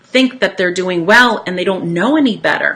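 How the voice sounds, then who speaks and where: This is a woman speaking. Her pitch is medium. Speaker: wellness educator, essential oils distributor. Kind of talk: informational talk to online audience. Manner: energetic.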